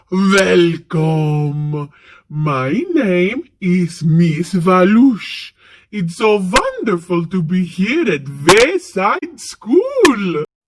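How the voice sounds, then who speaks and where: A woman speaks in a put-on character voice at a medium pitch. Her intonation is lively and her pace very slow. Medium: read story. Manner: theatrical, grand, exclamatory.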